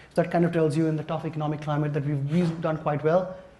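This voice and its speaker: Audible room echo colors a man's fairly high-pitched voice. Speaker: technology consultant presenting. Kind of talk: conference presentation. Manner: fast when excited; hesitant, many fillers.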